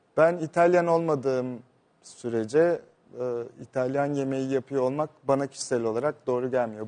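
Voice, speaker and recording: In a dark, mellow tone, a man with a fairly high pitch talks at a moderate pace. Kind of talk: casual interview.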